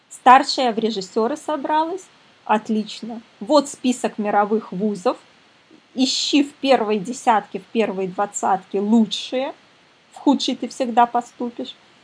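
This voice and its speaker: A woman with a high-pitched voice speaks at a fairly slow pace, her pitch varying in an ordinary way and her speech broken by long, frequent pauses. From Belarus, Minsk. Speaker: psychologist and parenting coach. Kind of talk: webinar lecture. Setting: online webinar.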